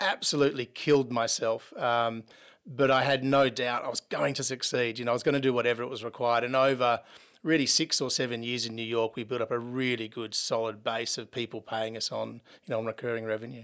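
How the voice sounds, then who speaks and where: A man with an Australian accent, very fast, fairly even intonation, very clean recording with a silent background. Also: medium pitch for a man. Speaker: software company founder and CEO. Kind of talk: interview.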